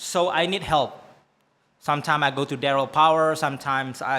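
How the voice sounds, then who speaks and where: Speaking with an Indonesian accent, a man with a fairly high pitch talks at a fairly slow pace. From Indonesia, Bangka Island. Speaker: singer-songwriter. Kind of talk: interview. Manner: halting, many fillers and restarts.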